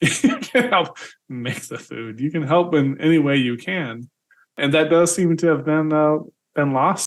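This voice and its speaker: A man's fairly high voice with ordinary pitch variation, a normal speaking voice. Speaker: podcast host. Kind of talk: casual interview conversation.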